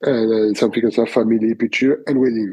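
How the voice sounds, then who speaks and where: A man's monotone, flat delivery with a French accent. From France. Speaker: wedding photographer. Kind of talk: interview answer. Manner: hesitant, many fillers.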